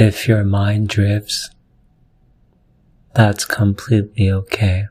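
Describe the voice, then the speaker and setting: Soft-spoken and calm, a man talks very slowly in a somewhat breathy, fairly low voice with monotone, flat intonation. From Korea. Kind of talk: sleep story. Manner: soft-spoken, calm; quiet.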